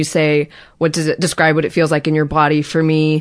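The background is quiet as a woman speaks with an American accent. Her pitch is very deep and low. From Los Angeles, California. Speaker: podcast guest. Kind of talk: personal interview. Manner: shaky voice.

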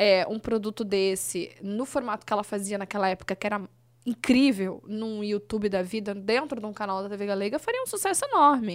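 A woman uses a normal speaking voice, fairly high in pitch with ordinary pitch variation. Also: very clean recording, silent background. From southern Brazil, Blumenau (Santa Catarina). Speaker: former children's TV presenter. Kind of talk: casual interview chat. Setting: studio.

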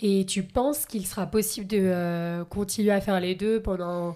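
Very slowly, a woman speaks at medium pitch with fairly even intonation and a dark, mellow tone, recorded very cleanly against a silent background. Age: 20s. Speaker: podcast host. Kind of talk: interview.

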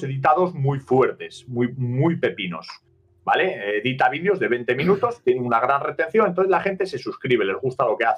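Speaking at a moderate pace, a man's pitch swings very widely. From Asturias, northern Spain. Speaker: steelworker and streamer. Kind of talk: casual chat.

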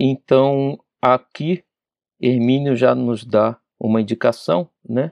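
Very slowly, with long, frequent pauses, a man speaks at a medium pitch with ordinary pitch variation, the sound dry and close with no echo. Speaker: spiritist study leader. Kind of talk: lecture. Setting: radio/TV broadcast studio.

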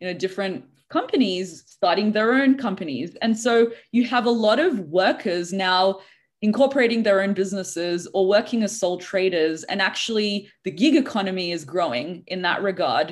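This is a woman with an Australian accent. Her pitch sits in the medium range. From Australia (Sydney). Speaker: leadership coach. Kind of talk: interview. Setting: video call.

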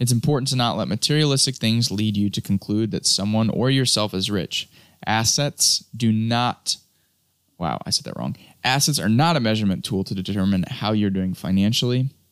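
In a very clean recording with a silent background, a man with a plain, everyday voice speaks at a moderate pace and medium pitch with ordinary pitch variation. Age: 20s. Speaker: podcast host, self-development platform founder. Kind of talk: solo podcast monologue on personal finance. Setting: home studio. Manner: casual, filler-heavy with many ums.

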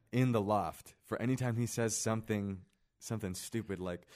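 In an American accent, a man speaks with an unremarkable speaking voice at medium pitch. His intonation is fairly even, and the recording is very clean with a silent background. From Kansas City, US Midwest. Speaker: student podcast host. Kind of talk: casual chat. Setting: library room.

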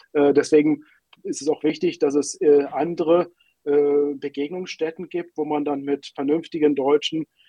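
A man talks at a moderate pace in a fairly high pitch. His intonation is monotone and flat. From Germany, Berlin. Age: 50s. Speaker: newspaper editor. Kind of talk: interview.

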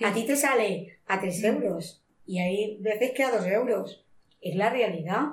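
A woman speaks at a fairly slow pace. Her medium-pitched voice is somewhat breathy. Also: ordinary pitch variation. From Spain, Monóvar, inland Alicante (Valencia region). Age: 50s. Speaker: shoe factory worker. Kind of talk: interview testimony.

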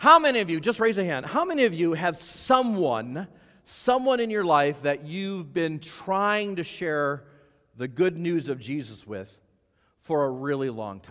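A man speaks at a fairly slow pace in a high voice, his pitch swinging very widely. His tone is animated, with big swings in loudness. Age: 50s. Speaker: pastor. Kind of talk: sermon.

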